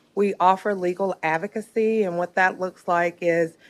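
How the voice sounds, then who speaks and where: In a Southern US accent, a woman speaks in a fairly low pitch with monotone, flat intonation. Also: very clean recording, silent background. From Alabama. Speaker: nonprofit executive director. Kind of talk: public testimony at a county board meeting. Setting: county board meeting room.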